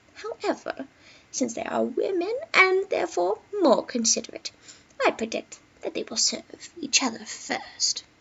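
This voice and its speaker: A female-sounding voice speaks quietly at a moderate pace, high in pitch. It is a put-on character voice. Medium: read story. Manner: quiet, knowing.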